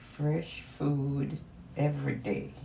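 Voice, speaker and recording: Very slow speech from a woman in a room with audible echo. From Jamaica. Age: 80s+. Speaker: grandmother interviewee. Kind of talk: casual interview.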